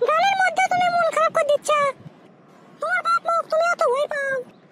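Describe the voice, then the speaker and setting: This cartoonish character voice is extremely high-pitched, with very wide pitch swings and a moderate pace. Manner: teasing, scolding.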